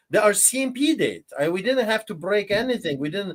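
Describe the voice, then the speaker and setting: At a moderate pace, a man with a Polish accent speaks at a high pitch with lively intonation. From Poland. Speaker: pastor. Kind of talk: interview testimony. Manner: animated.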